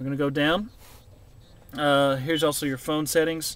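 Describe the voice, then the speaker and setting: Here a man talks at a fairly high pitch with ordinary pitch variation. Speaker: car salesperson demonstrating vehicle features. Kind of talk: product demonstration tutorial. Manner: fast; hesitant, many fillers.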